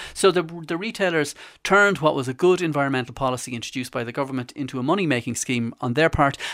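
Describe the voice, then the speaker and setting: A man with an Irish accent at a very fast pace, fairly high in pitch with ordinary pitch variation, on a very clean recording with a silent background. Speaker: consumer journalist. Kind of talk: radio interview.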